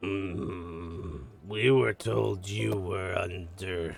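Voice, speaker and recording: Putting on a character voice, a man speaks in a raspy, very deep, low pitch at a very slow pace. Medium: actual play. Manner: blunt, proud.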